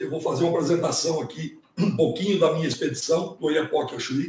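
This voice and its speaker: A man talking at a fairly quick pace. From Brazil, São Paulo state coast. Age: 60s. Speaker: ocean kayaker and scout leader. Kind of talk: presentation on a live stream. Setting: live stream. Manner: casual.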